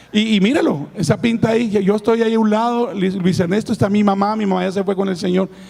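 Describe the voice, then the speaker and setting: Over noticeable background noise, a man talks in an animated tone at a high pitch and a fairly quick pace, with ordinary pitch variation. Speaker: pastor. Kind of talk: sermon.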